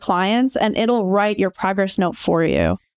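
A woman talks in a Midwestern accent. The sound is dry and close with no echo, over a quiet background. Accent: General American (Midwest). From Michigan, suburban Detroit. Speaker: co-host and therapist. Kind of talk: casual chat.

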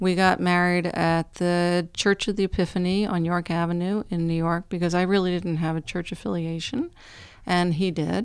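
An unremarkable speaking voice with an American accent at a moderate pace, on a very clean recording with a silent background. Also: woman. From US Northeast. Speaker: television art department worker. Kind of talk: interview.

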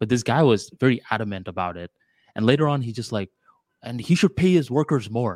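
A man with a slight Bengali accent speaks at a fairly quick pace and medium pitch, with lively intonation and big swings in loudness. The sound is dry and close with no echo. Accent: American English with slight Bengali tinge. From Bangladesh, raised in Florida, US. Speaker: podcast co-host. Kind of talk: casual chat. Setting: video call.

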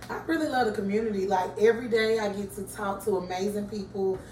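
A woman with an American accent talks at a fairly quick pace and a medium pitch, her intonation fairly even. Audible room echo and noticeable background noise fill the recording. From Atlanta, Georgia (US South). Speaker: coffee shop owner. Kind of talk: casual interview. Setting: coffee shop.

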